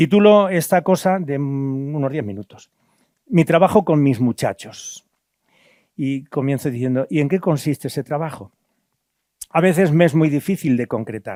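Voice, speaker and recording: With a dark, mellow tone, a man speaks fairly slowly at a fairly high pitch, his intonation lively. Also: dry, close sound with no echo. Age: 70s. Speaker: priest and former missionary. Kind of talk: lecture. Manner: halting.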